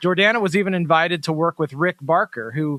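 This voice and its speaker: Fairly high in pitch, a man uses an ordinary speaking voice at a fairly quick pace and fairly even intonation, in a dry, close sound with no echo. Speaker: podcast host. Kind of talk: interview.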